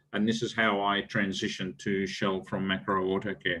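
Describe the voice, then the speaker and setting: A man with an Australian accent. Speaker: business executive. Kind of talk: lecture. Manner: halting, many fillers.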